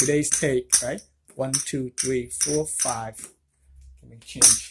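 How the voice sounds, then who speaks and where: A man is speaking. His pace is very slow. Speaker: craps gambling vlogger. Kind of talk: casual vlog commentary. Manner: loud, raised voice.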